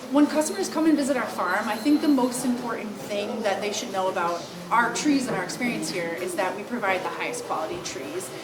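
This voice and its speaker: Over noticeable background noise, a woman with a fairly high-pitched voice talks with hardly any pauses. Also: lively intonation, fairly quick pace. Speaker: Christmas tree farm owner. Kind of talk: interview answer.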